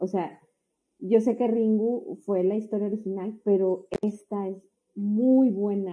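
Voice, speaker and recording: Speaking at a very slow pace, a woman uses medium pitch and fairly even intonation. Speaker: podcast co-host. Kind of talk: casual chat.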